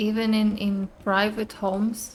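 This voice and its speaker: A woman speaks with a non-native accent at a medium pitch. Her intonation is monotone and flat. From outside the US. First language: not English. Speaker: gaming streamer. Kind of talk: gameplay commentary. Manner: casual, conversational.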